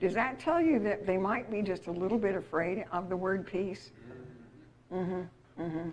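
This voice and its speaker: A woman with an American accent talks at a moderate pace in a medium pitch. There is audible room echo. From Utah, US West. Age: 70s. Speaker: seminar speaker. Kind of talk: lecture. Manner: animated.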